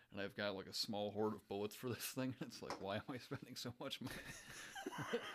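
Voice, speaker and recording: A man with an ordinary speaking voice talks at a moderate pace and a medium pitch, with hardly any pauses. His intonation is fairly even. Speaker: podcast co-host. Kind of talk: casual chat.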